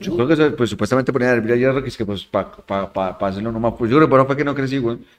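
At a very fast pace with hardly any pauses, a man speaks. His pitch is medium, with ordinary variation. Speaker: podcast guest. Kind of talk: casual chat.

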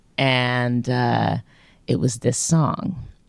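A woman with a very deep, low pitch. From Louisiana. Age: 30s. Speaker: singer-songwriter musician. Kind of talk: interview chat. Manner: casual, rambling, laughs.

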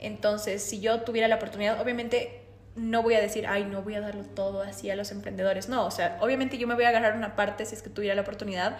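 A woman talks at a very fast pace, fairly high in pitch with fairly even intonation. Noticeable background noise and audible room echo fill the recording. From Bolivia, La Paz. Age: 20s. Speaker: systems engineer, time management expert. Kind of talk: interview.

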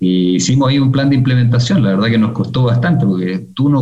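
A man speaks at a very fast pace. His medium pitch shows ordinary variation. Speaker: executive in a family car dealership business. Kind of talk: interview conversation. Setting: video call.

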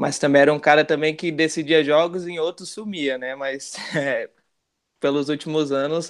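A man talks in a plain, everyday voice at a fairly slow pace. His intonation is fairly even against a quiet background. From Brasília, Brazil (Gama). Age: 20s. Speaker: football fan, channel supporter. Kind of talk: casual chat.

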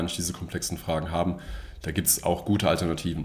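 Speaking with a very deep, low pitch, a man moves along at a fairly quick pace. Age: 30s. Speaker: data architect. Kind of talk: interview. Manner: halting.

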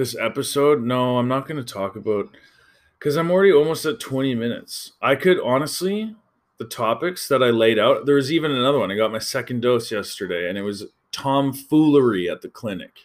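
With a western Canadian accent, a man at medium pitch talks at a fairly quick pace in an animated tone with lively intonation, recorded very cleanly against a silent background. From Calgary, Alberta, Canada. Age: 30s. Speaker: podcast host. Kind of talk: casual storytelling monologue.

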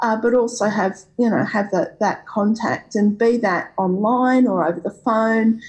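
Somewhat breathy, a woman speaks in an Australian accent at a fairly slow pace. Her pitch is fairly high, with ordinary pitch variation. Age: 40s. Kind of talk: interview. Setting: video call.

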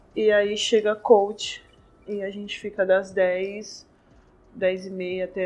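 A woman's medium-pitched voice, flat and monotone in intonation, with big swings in loudness. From São Paulo, Brazil (east zone, Ferraz). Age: 20s. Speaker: professional basketball player. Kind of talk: interview. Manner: casual.

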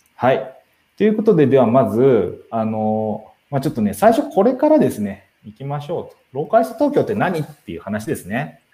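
A man talking at a fairly quick pace with big swings in loudness. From Tokyo. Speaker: live stream host, community organizer. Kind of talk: casual live stream talk. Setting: live stream.

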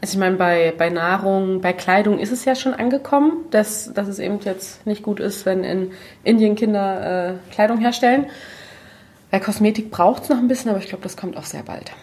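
At a moderate pace, a woman with a medium-pitched, somewhat breathy voice shows ordinary pitch variation and big swings in loudness. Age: 30s. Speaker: natural cosmetics entrepreneur. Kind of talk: casual chat.

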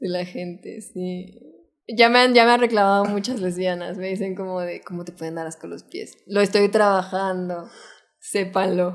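This woman uses a normal speaking voice with a medium pitch. She talks at a fairly slow pace, keeping her intonation fairly even. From Mexico City. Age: 20s. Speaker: filmmaker and photographer. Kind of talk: casual interview.

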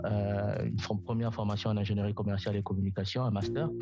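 Over music in the background, a man talks at a fairly quick pace with a fairly low pitch, and the room echo is audible. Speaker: digital sector professional, political commentator. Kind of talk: interview.

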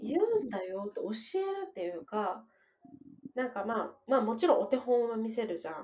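Fairly high-pitched, a woman speaks fairly quickly with very wide pitch swings and big swings in loudness. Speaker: mother raising bilingual children. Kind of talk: casual chat. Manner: not a fast talker.

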